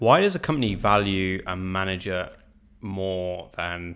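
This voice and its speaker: A man with a British accent, very deep and low in pitch, with fairly even intonation and a bright, sharp tone. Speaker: business director. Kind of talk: casual chat.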